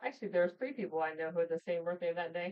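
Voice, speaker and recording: Here a woman speaks at a medium pitch. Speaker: livestream host. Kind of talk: casual livestream chat. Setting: livestream from home with screenshare. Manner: loud, carrying voice; animated.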